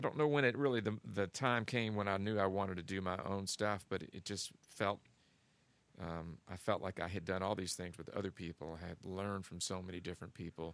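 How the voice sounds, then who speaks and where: A man with an American accent and a very deep, low pitch, fairly quick with ordinary pitch variation. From Kentucky, US. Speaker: guitarist and recording artist. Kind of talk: interview.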